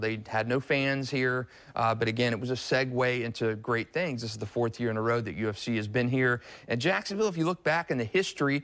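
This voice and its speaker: With an unremarkable speaking voice, a man talks at a fairly quick pace and medium pitch, using ordinary pitch variation. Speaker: sports editor. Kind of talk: sports interview and analysis.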